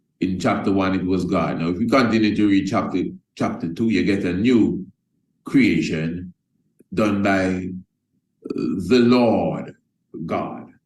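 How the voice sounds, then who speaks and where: A man's very deep, low voice at a moderate pace, with ordinary pitch variation and audible room echo. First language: not English. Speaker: religious teacher and course presenter. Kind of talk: Bible teaching lecture. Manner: conversational, repetitive.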